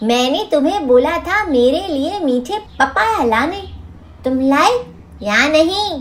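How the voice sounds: A man does a cartoonish character voice at an extremely high pitch, speaking slowly with lively intonation, a fairly bright tone and faint background noise.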